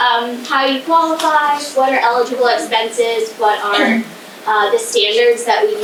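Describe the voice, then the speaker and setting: A woman speaks loudly in a high pitch with ordinary pitch variation. Noticeable background noise and audible room echo fill the recording. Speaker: state historic preservation administrator. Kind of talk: presentation. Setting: community hall presentation with audience, no microphone.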